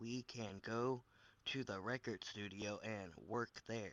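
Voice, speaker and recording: A put-on character voice from a man, fairly slow and medium in pitch. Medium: read story.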